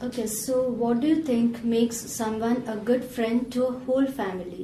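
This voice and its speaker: A woman with a fairly high pitch speaks at a moderate pace and with fairly even intonation, and there is noticeable background noise. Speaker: English teacher, exam interviewer. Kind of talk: exam interview questions.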